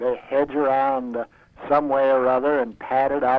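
This man has a plain, everyday voice. He talks at a moderate pace and a medium pitch. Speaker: former radio announcer. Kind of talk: casual chat. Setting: phone call.

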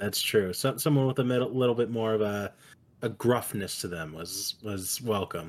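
A man with an ordinary speaking voice talks at a moderate pace, his medium pitch carrying ordinary pitch variation. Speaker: podcast host interviewer. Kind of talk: comedic interview, casual banter. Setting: video call, recording from friend's house.

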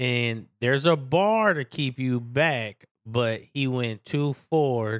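At a very slow pace, a man speaks with ordinary pitch variation. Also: medium pitch for a man. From San Francisco. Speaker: host's brother. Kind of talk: casual chat.

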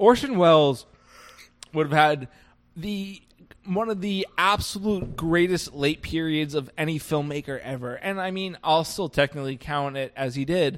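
An ordinary speaking voice from a man at a moderate pace, with ordinary pitch variation, in a very clean recording with a silent background. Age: 20s. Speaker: podcast host. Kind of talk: casual chat.

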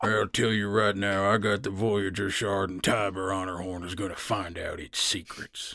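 A man does a raspy put-on character voice, fairly low and monotone, with hardly any pauses. The recording is very clean, with a silent background. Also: moderate pace. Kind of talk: comic overacting. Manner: brash, boastful, cocky.

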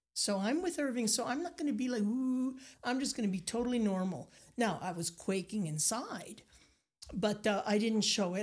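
A woman's animated, somewhat breathy voice with lively intonation, at a moderate pace. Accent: Acadian. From Nova Scotia, Acadian community. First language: Acadian French. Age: 60s. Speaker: painter and storyteller. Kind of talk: casual interview. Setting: studio.

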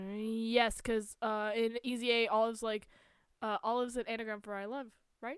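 Intonation stays monotone and flat as a woman with a fairly high pitch speaks at a moderate pace in a very clean recording with a silent background. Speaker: podcast co-host. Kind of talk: casual banter. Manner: joking, laughs a lot.

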